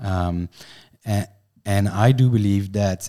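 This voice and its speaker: With a French accent, a man speaks at a fairly low pitch in a dark, mellow tone, on a very clean recording with a silent background. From France. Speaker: company finance executive. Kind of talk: casual chat. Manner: halting.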